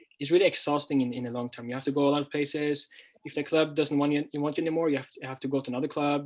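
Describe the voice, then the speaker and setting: Delivery comes at a very fast pace. The intonation is monotone and flat. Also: man. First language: Norwegian. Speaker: language teacher and former footballer. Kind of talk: interview. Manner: clear; halting.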